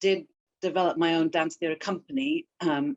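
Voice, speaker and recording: A woman talks with lively intonation and a slight British accent. The sound is dry and close, with no echo. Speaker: therapist and dance artist. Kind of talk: interview.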